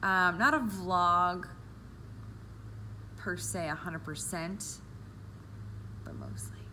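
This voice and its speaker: A woman's fairly low-pitched voice with a bright, sharp tone, vocal fry, very wide pitch swings, a very slow pace, long, frequent pauses and audible room echo. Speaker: vlogger with diabetes, medical office worker. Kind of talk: personal vlog. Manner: sometimes mumbling.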